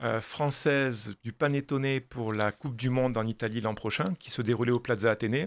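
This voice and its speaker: In a very clean recording with a silent background and a dry, close sound with no echo, a man speaks at a medium pitch. He keeps a moderate pace with fairly even intonation and hardly any pauses. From southwestern France, Toulouse. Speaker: pastry chef and chocolatier consultant. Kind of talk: radio interview. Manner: hesitant, many fillers.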